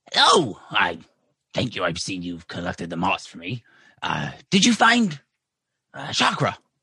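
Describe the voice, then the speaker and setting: A raspy, put-on character voice moves at a moderate pace with long, frequent pauses. The background is quiet. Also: man, very deep, low pitch for a man. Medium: actual play. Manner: hesitant, halting.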